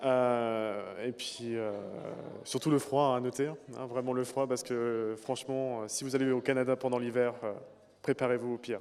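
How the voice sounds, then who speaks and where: At a fairly slow pace, a man speaks in a flat monotone at a medium pitch. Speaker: former student. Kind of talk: interview.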